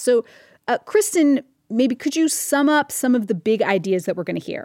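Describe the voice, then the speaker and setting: A woman speaks at a moderate pace in an upbeat, playful tone, her pitch swinging very widely, with a dry, close sound and no echo. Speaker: podcast host. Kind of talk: explanatory podcast narration.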